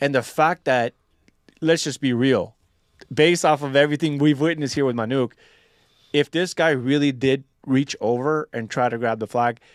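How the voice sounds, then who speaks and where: A man with a normal speaking voice, fairly high in pitch with fairly even intonation, talks at a moderate pace in a very clean, dry, close recording with a silent background and no echo. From USA, Mexican-American family. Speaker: military veteran and political activist. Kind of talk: casual podcast discussion.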